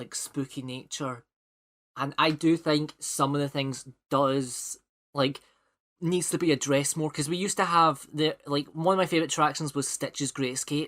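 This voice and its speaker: A man with a Scottish accent at a moderate pace. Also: fairly high pitch for a man, fairly even intonation, very clean recording, silent background. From Scotland. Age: 20s. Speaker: podcast host. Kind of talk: casual chat. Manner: halting, many fillers and repeats.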